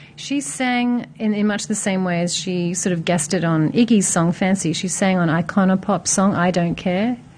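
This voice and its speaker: A somewhat breathy woman's voice at medium pitch, ordinary pitch variation, moderate pace and hardly any pauses. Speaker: music streaming company rep. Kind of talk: casual chat.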